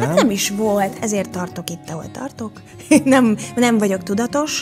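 A woman's lively, bouncing intonation at a fairly slow pace, with clear music playing behind her. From Hungary. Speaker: actress and voice actor. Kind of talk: interview answer. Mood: reflective, warm storytelling. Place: studio. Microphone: studio mic.

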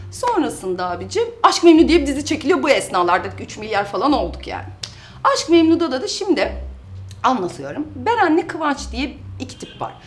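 A woman speaks at a moderate pace. Her loudness swings a lot. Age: 30s. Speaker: YouTuber and mother; YouTuber. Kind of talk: casual vlog, reading out and answering comments. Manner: animated. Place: office.

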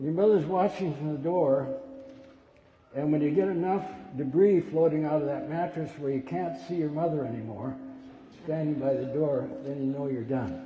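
There is light background noise and audible room echo as a man speaks with ordinary pitch variation. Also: moderate pace. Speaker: pastor. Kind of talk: sermon. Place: church. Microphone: podium.

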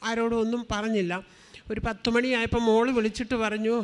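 A woman at a fairly high pitch. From Thiruvalla, Kerala. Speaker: churchgoer giving testimony. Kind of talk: testimony.

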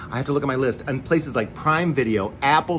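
Light noise can be heard beneath a man's speech. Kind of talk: casual promotional greeting. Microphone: phone near.

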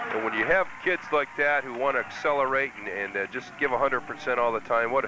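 Over noticeable background noise, a man speaks at a moderate pace in an enthusiastic tone. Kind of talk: color commentary, analyst talk during live game. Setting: press box at stadium. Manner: conversational, analytical, enthusiastic.

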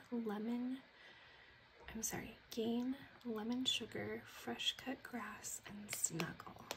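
Against noticeable background noise, a woman with a fairly high pitch speaks very slowly with monotone, flat intonation. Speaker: ASMR content creator. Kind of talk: casual talk to camera, product haul review. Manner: soft-spoken, whispery.

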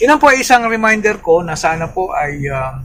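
A man's lively intonation and moderate pace stand out over noticeable background noise. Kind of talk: casual vlog retelling a homily. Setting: outdoors at church parking area. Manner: halting, many fillers.

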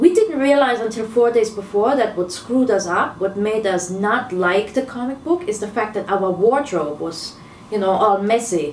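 A woman talks at a fairly quick pace with a fairly high pitch. Her pitch variation is ordinary, and there is noticeable background noise. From Germany. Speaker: film director. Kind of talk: interview.

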